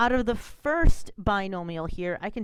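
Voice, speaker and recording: A woman speaks in an upbeat tone with lively intonation. The recording is very clean, with a silent background. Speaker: math teacher. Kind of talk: screencast math tutorial. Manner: fast; casual, upbeat.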